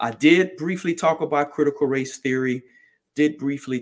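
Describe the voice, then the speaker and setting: He speaks with a plain, everyday voice. His pitch varies in an ordinary way, and his pace is moderate. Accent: American. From New Jersey, greater Philadelphia area. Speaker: political candidate. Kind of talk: campaign podcast monologue.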